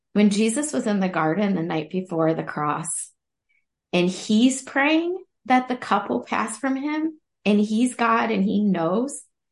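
Against a quiet background, a woman speaks at a fairly slow pace with very wide pitch swings. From Ohio. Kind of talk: casual chat.

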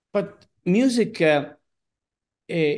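Against a quiet background, a man with an Italian accent speaks with very wide pitch swings. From Sicily, Italy. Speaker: opera singer. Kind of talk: interview. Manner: halting, many fillers.

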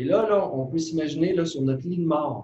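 A man talks at a moderate pace in a Saguenay–Lac-Saint-Jean accent. His pitch varies in an ordinary way. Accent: Quebec French (Saguenay–Lac-Saint-Jean). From Quebec, Lac-Saint-Jean. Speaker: meditation teacher and author. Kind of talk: interview.

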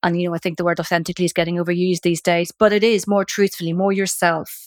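A woman's medium-pitched voice in a dry, close sound with no echo, on a very clean recording with a silent background. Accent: Northern Irish. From Northern Ireland, Belfast. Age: 50s. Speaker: midlife coach and author. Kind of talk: interview conversation. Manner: animated.

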